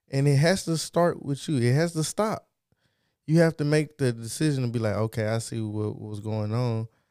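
On a very clean recording with a silent background, a man speaks at a medium pitch. His tone is dark and mellow, and his pitch varies in an ordinary way. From Texas. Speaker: podcast co-host. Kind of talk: casual chat. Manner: animated.

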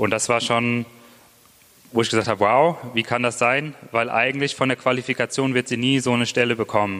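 At a fairly quick pace, a man speaks in a medium pitch with fairly even intonation and an ordinary speaking voice. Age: 20s. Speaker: church planter. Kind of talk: testimony. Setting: church.

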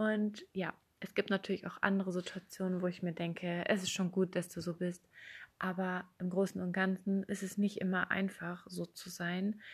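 Against a quiet background, a woman speaks at a moderate pace in a medium-pitched, somewhat breathy voice with monotone, flat intonation. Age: 20s. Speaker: podcast host. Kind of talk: personal monologue.

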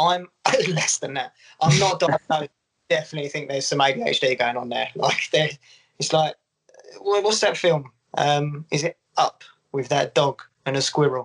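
At a moderate pace, a man with a fairly high pitch and a somewhat breathy voice speaks with ordinary pitch variation and long, frequent pauses, the sound dry and close with no echo. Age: 30s. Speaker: golf social media creator. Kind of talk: casual chat.

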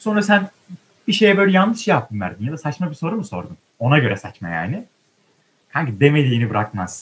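Somewhat breathy, a man speaks at a fairly quick pace and a medium pitch with very wide pitch swings. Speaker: theatre student podcaster. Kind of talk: casual chat. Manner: animated.

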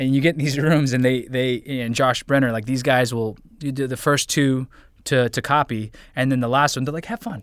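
Over a very clean recording with a silent background, a man talks at a moderate pace in an ordinary speaking voice. His pitch is medium and his intonation fairly even. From US, moved around (military family). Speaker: voice actor. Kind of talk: casual interview chat.

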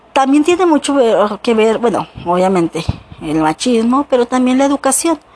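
A woman talks at a moderate pace and a high pitch, with very wide pitch swings and very even loudness. Noticeable background noise sits under a dry, close sound with no echo. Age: 40s. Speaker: podcaster. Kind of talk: personal monologue. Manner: halting.

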